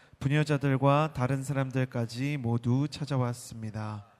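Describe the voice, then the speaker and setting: A man's monotone, flat delivery at a fairly slow pace. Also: very clean recording, silent background. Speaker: worship service emcee. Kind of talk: formal announcement. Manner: formal.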